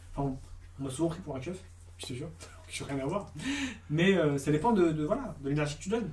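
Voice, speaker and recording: In a room with audible echo, a man with a fairly high pitch talks at a very fast pace with lively intonation and long, frequent pauses. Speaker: casting director. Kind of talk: interview. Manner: halting.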